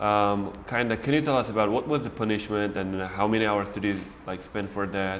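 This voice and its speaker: A man's fairly low voice at a fairly quick pace, with fairly even intonation and audible room echo. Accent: Uzbek. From Uzbekistan, Khwarezm. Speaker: English teacher and interviewer. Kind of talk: interview before a class audience.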